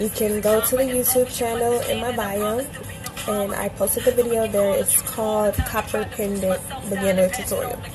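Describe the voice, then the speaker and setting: A woman's fairly high voice with an American accent, monotone, flat intonation and a moderate pace, with music in the background. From US South, Atlanta. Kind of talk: tutorial. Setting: livestream with music playing. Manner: casual, chatty.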